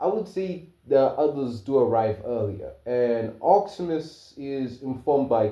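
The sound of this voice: The clip features an unforced reading voice. Lively intonation shapes the lines.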